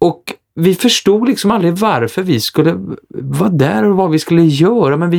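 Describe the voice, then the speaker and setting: Using lively intonation, a man with a high pitch speaks at a moderate pace with very even loudness. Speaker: stage actor. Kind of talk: casual chat.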